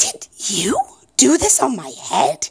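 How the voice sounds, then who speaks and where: The voice is raspy and put on, a character voice. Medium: read story. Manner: earnest, persistent.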